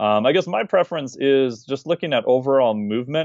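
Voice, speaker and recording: A man speaks at a moderate pace. He has a plain, everyday voice with lively intonation. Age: 40s. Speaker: fitness and metabolism expert. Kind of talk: podcast interview.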